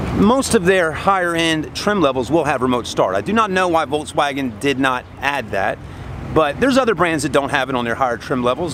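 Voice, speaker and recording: Noticeable background noise sits behind a man's voice. His pitch is fairly high and his intonation lively. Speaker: car salesman presenting a vehicle. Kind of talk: product walkaround tour. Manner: casual, conversational.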